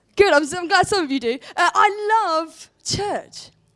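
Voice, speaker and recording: This woman speaks very slowly with an extremely high pitch and a southern English accent. Her intonation is lively. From southern England, Portsmouth. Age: 20s. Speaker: church worker and conference speaker. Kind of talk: sermon. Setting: stage with audience.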